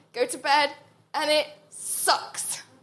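A woman's raised, projected voice with ordinary pitch variation. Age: 30s. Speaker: journalist. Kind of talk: panel discussion. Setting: stage with audience. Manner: animated.

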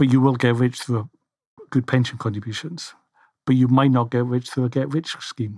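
With a Scottish accent, a man speaks at a moderate pace with fairly even intonation. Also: medium pitch for a man. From Scotland. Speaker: financial planner. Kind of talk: casual chat. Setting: studio. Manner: halting, many fillers.

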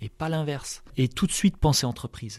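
The recording is very clean, its background silent. In it, a man speaks at a moderate pace with ordinary pitch variation. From French Alps. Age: 40s. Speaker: company president. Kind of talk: interview. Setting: company headquarters. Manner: hesitant, many fillers.

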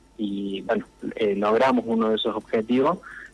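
This man has an ordinary speaking voice, talking at a fairly slow pace with ordinary pitch variation. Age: 40s. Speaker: local politician. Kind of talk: radio interview.

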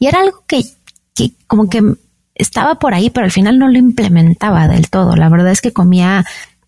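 This speaker talks very fast in a Mexican accent, in a dark, mellow, somewhat breathy tone with ordinary pitch variation. The sound is dry and close with no echo. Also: woman. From Mexico. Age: 40s. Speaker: wellness entrepreneur and health coach. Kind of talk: interview conversation.

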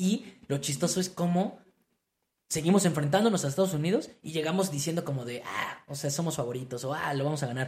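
A man with a Mexican accent talks at a fairly quick pace in a fairly high pitch, with ordinary pitch variation. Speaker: football podcast co-host. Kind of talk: casual chat.

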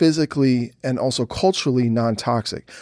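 Recorded very cleanly against a silent background, a man speaks at a moderate pace with ordinary pitch variation, in a dry, close sound with no echo. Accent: American. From US Northeast, Philadelphia. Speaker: novelist and comic book writer. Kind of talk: interview. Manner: halting.

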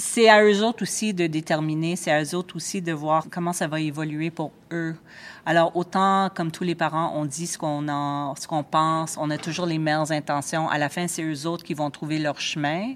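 A woman with an English accent has a very deep, low pitch and fairly even intonation. She talks at a moderate pace in a very clean recording with a silent background. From Montreal, Quebec (Ville-Mont-Royal). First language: English (speaking French). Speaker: food critic. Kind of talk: casual interview. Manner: halting, with repetitions.

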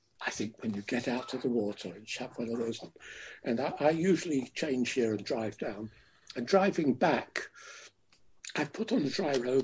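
A man speaks at a medium pitch and a moderate pace, sounding somewhat breathy. His intonation is lively. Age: 70s. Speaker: river swimmer and campaigner. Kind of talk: interview, reminiscing. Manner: articulate, passionate.

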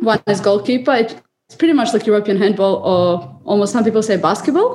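A woman with a Serbian accent speaks with lively intonation. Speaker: water polo player. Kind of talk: interview.

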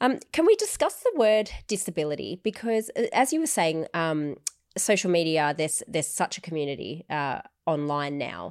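A woman speaks with an Australian accent at a fairly low pitch. Her moderate pace comes through in a very clean recording with a silent background. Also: lively intonation. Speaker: podcast host. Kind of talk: casual chat.

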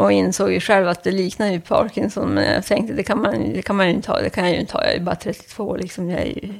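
This woman speaks at a very fast pace with hardly any pauses. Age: 50s. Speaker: patient with Parkinson's, office worker. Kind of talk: interview. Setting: at home, in kitchen.

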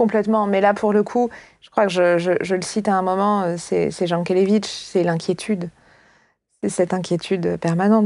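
The woman's voice sits at a medium pitch, moving at a moderate pace. Her intonation is monotone and flat, and the background is quiet. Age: 30s. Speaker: philosophy teacher and author. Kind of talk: interview conversation.

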